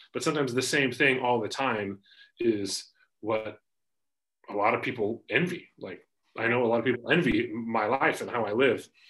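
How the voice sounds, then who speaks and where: With a Pacific Northwest accent, a man speaks at a moderate pace and medium pitch, with ordinary pitch variation and long, frequent pauses. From US Pacific Northwest, Spokane, Washington. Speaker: financial advisor and podcaster. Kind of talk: casual interview chat.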